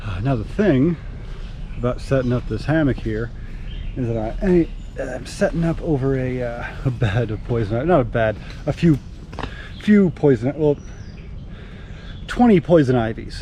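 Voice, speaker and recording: A man talks at a moderate pace with long, frequent pauses. Background noise is noticeable throughout. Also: medium pitch for a man, lively intonation. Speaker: camping vlogger. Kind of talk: casual vlog narration. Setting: outdoors. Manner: loud; animated.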